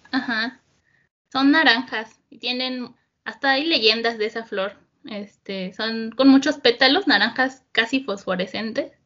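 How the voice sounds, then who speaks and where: A woman with a plain, everyday voice speaks at a fairly high pitch and a fairly slow pace, showing ordinary pitch variation and big swings in loudness. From central Mexico (Estado de México). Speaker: interviewee. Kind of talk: casual chat.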